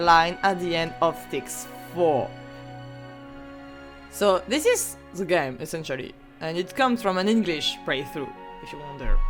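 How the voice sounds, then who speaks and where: Someone with a non-native accent speaks at a fairly slow pace. Music plays in the background. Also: woman. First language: not English. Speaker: history student. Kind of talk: video essay narration. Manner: stuttering.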